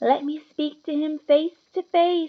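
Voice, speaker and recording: A woman's put-on character voice, high-pitched and flat in intonation, at a fairly slow pace. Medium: read story.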